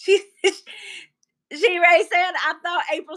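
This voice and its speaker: Her tone is bright and sharp. A woman speaks with a Southern US accent. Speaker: live stream host. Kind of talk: casual chat. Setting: live stream.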